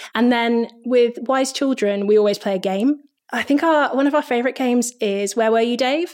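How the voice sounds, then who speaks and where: This woman's pace is moderate. Her voice sits high, with ordinary pitch variation. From grew up on army bases in Germany and the UK. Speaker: stage manager. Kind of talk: interview.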